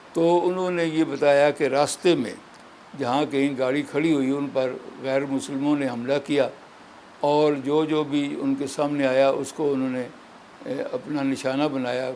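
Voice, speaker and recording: This man's voice is fairly high in pitch. His intonation is monotone and flat. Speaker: elderly political figure and independence-era witness. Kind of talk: interview answer, recalling history.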